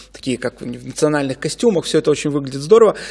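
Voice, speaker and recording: A man uses a normal speaking voice, fairly high in pitch with ordinary pitch variation, over a quiet background. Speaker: legal expert. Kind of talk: studio interview. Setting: studio. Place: studio. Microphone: studio mic.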